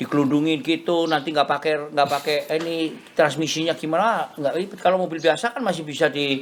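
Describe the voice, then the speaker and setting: With noticeable background noise behind him, a man speaks fairly quickly at a fairly high pitch, his pitch varying in an ordinary way. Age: 60s. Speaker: classic car collector and restorer. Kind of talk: casual interview chat. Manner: code-switching with English phrases.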